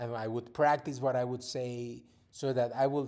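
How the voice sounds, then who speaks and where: Speaking fairly slowly with a Spanish accent, a man has a medium pitch, a dark, mellow tone, and fairly even intonation. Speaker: podcast host, father, former TV reporter. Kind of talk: casual monologue to his children. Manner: halting, with repeated words.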